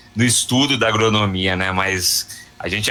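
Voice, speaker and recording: Noticeable noise runs in the background. A man is the one talking. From Piracicaba, São Paulo state, Brazil. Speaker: agricultural economics researcher and professor. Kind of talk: radio interview.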